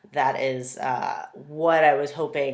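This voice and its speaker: There is audible room echo around a woman's voice. Her pitch is very deep and low. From US West Coast. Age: 30s. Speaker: naturopathic physician and CrossFit coach. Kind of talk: video application monologue. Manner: halting, many fillers.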